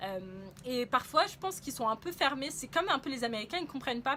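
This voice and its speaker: A woman is talking. Her pace is very fast. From France. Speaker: travel vlogger. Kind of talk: casual travel vlog monologue. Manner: hesitant, many fillers.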